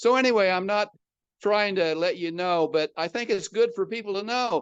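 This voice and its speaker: Here a man with a high pitch talks in a Midwestern American accent at a moderate pace with ordinary pitch variation. The sound is dry and close with no echo, over a quiet background. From US Midwest, Omaha, Nebraska. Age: 80s+. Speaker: retired entrepreneur and motivational speaker. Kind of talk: podcast interview. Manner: conversational, from the heart.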